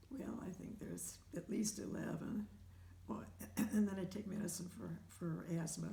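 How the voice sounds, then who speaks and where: Moderately paced speech from a woman amid audible room echo. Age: 80s+. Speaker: home care client with heart conditions. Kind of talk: interview. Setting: at home. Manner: halting.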